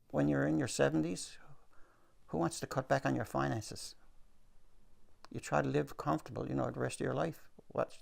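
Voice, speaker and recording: A man with a Newfoundland accent speaks in a very deep, low pitch with vocal fry. His pace is fairly quick, yet he leaves long, frequent pauses. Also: ordinary pitch variation. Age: 70s. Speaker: retired retail worker. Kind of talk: news interview.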